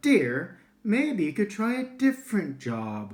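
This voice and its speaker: A man speaks in a put-on character voice, pitched high with a warm, gentle tone. His pace is fairly slow. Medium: read story.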